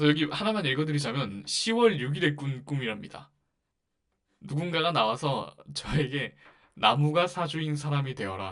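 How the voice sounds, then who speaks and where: The delivery has lively intonation at a moderate pace. It is a plain, everyday voice. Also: man, fairly high pitch for a man. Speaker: podcast host. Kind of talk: casual monologue.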